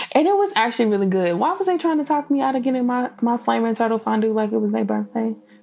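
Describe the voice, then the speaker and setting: Over noticeable background noise, a woman speaks very fast with an animated tone and lively intonation, her loudness very even. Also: hardly any pauses. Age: 20s. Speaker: podcast host and blogger. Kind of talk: casual solo podcast talk.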